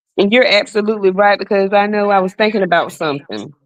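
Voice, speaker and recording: A woman talks loudly at a fairly quick pace. Her pitch sits fairly high. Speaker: podcast co-host. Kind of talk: casual discussion.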